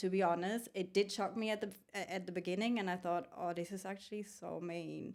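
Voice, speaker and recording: Speaking with a German accent, a woman delivers her words at a medium pitch and fairly quick pace, in a monotone, flat intonation. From Germany. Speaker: food truck owner and carpentry student. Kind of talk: podcast interview.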